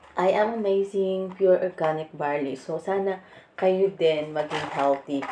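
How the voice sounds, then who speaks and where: A woman speaks very slowly with ordinary pitch variation over noticeable background noise. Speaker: vlogger. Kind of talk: product demo vlog. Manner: casual, chatty.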